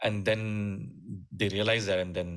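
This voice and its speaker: A man speaks with a Keralan accent at a moderate pace, his pitch very deep and low. His intonation stays fairly even on a very clean recording with a silent background. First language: Malayalam. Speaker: musician and music teacher. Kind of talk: interview conversation. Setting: podcast interview. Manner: halting, many fillers.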